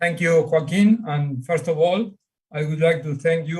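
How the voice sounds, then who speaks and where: With an Argentine accent, a man speaks at a fairly high pitch with ordinary pitch variation. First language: Spanish. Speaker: astronomer and priest. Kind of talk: panel discussion. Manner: halting.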